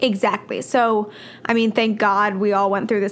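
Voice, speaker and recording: Speaking at a fairly quick pace, a woman uses an unremarkable speaking voice with a fairly high pitch. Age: 20s. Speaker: podcast co-host. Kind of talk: casual chat.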